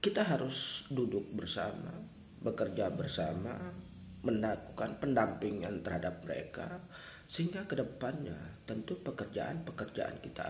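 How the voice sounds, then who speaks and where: A man's medium-pitched voice at a moderate pace, with very wide pitch swings and audible room echo. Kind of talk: spoken address to viewers. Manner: earnest, emphatic.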